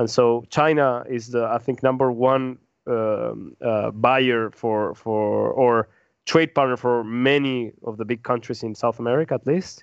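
A man with a Spanish accent speaks at a fairly slow pace using fairly even intonation. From Peru. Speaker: podcast co-host. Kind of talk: casual discussion. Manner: halting, frequent repetitions.

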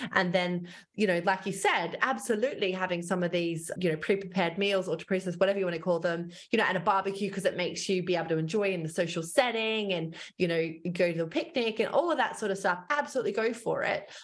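A speaker with an Australian accent talks at a very fast pace, with ordinary pitch variation. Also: woman, medium pitch for a woman. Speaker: dietitian and author. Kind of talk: casual interview chat.

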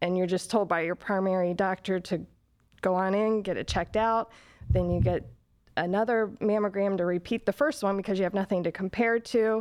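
A woman with a normal speaking voice and medium pitch talks at a fairly quick pace with fairly even intonation against a quiet background. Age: 40s. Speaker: breast cancer survivor. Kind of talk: interview.

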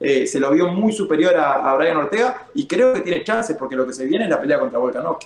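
Over noticeable background noise, a man with a high pitch talks at a fairly quick pace with very wide pitch swings and hardly any pauses. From Uruguay. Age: 30s. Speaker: MMA fighter. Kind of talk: casual chat.

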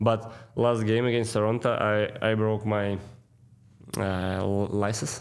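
A man with a Russian accent speaks at a fairly slow pace in a monotone, flat way. He takes long, frequent pauses. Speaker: pro hockey player. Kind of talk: interview. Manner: halting.

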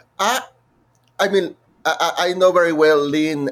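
A man with a Mexican accent at a moderate pace. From Mexico. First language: Spanish. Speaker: musical theatre composer. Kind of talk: interview. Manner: halting.

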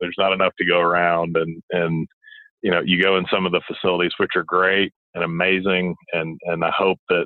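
At a fairly quick pace, a man talks with a Southern US accent. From Alabama, Montgomery. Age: 30s. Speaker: former college basketball player, sports commentator. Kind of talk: phone interview.

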